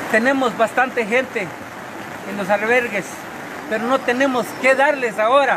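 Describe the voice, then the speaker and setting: Raising and projecting his voice at an extremely high pitch, a man speaks at a moderate pace with fairly even intonation and long, frequent pauses over noticeable background noise. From Guatemala, Alta Verapaz. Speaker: town mayor. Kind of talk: emergency appeal. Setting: outdoors. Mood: urgent, pleading. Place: rain. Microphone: phone near.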